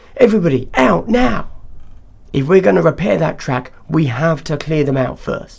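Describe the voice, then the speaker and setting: Putting on a raspy character voice, a man speaks at a moderate pace in a fairly high pitch with very wide pitch swings. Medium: read story. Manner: clipped, commanding.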